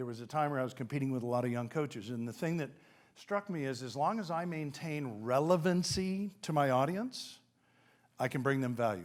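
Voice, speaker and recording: On a very clean recording with a silent background, a medium-pitched man talks fairly quickly with an animated tone and lively intonation. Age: 60s. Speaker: business coach and keynote speaker. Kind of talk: keynote speech.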